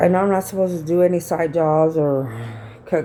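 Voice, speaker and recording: Her voice is very deep and low for a woman. Noticeable background noise sits behind this woman's speech. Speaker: vlogger. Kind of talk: casual vlog storytelling. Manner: loud; animated, conversational.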